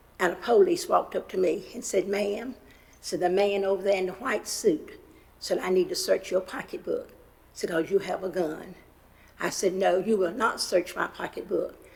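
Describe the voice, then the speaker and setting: A woman speaks at a moderate pace in a North Carolina accent. Her pitch sits in the medium range. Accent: Southern US (North Carolina). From US South. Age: 80s+. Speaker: member of the public giving comment. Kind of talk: public comment testimony. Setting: county commission meeting.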